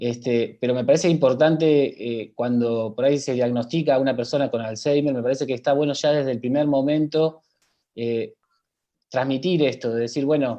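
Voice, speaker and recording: At a moderate pace, a man with a dark, mellow tone speaks at medium pitch with fairly even intonation. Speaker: health professional. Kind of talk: panel talk.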